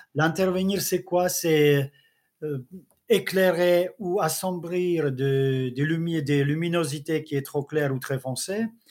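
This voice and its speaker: Speaking with a Czech accent, a man talks at a very slow pace. His pitch is fairly high and his intonation fairly even. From Czech Republic. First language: Czech (speaking French). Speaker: travel photographer. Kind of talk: interview. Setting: video call.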